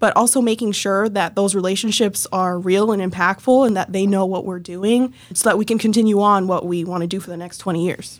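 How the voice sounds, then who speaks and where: In an American accent, a woman with an ordinary speaking voice talks at a fairly quick pace and medium pitch, with fairly even intonation and hardly any pauses. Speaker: nonprofit worker. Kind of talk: casual interview.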